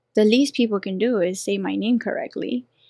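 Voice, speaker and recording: Speaking at a fairly quick pace in a strong Colombian accent, a woman with a fairly high pitch comes through in a dry, close sound with no echo. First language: Spanish. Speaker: professional dancer and boxing coach. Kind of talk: casual interview chat. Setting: studio.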